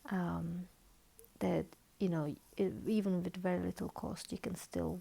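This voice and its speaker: A quiet woman speaks at a very slow pace. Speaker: author and therapist. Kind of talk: informal talk after book reading. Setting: at home, dim lighting, child sleeping nearby. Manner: quiet, hushed.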